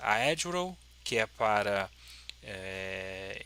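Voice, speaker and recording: The man's voice carries a bright, sharp tone. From Brazil, Petrópolis, Rio de Janeiro state. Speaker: software developer and YouTuber. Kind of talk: lecture. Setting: symposium talk with audience. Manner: hesitant, many fillers.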